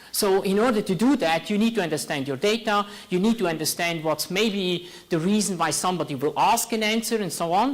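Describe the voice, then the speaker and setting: Speaking at a fairly quick pace, a man with a Swiss accent uses a high pitch and ordinary pitch variation. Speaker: tech startup founder. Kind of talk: talk to an audience.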